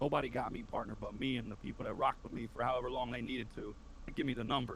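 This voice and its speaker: A man talks at a very fast pace with an American accent. Audible room echo surrounds his voice. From inner city, US. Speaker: Twitch streamer, Marine veteran. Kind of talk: casual interview chat. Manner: animated, passionate.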